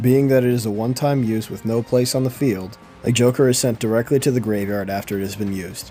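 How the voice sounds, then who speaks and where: Over music in the background, a man at a medium pitch talks at a fairly quick pace with ordinary pitch variation. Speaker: game designer. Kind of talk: game rules tutorial narration.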